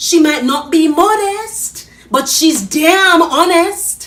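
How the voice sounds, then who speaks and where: A woman with a Jamaican accent speaks at a very slow pace over noticeable background noise. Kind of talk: dramatic spoken-word monologue.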